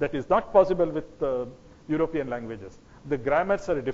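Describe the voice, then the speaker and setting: A man with a Kannada accent, his fairly high voice carried by lively intonation. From South India (Karnataka). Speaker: lecturer on history and genetics. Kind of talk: lecture. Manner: halting, with self-corrections.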